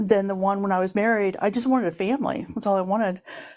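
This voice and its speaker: In a normal speaking voice, a woman holds a medium pitch and varies it in an ordinary way. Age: 60s. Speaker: nurse and writer, audience member sharing story. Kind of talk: testimony.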